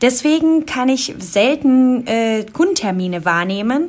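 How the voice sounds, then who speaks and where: Her intonation is lively. The woman's voice is somewhat breathy. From Colombia. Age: 20s. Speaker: insurance specialist. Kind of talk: casual interview.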